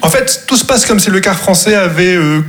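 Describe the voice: A man speaks at a fairly quick pace with a high pitch, a fairly bright tone and lively intonation. Audible room echo surrounds the voice.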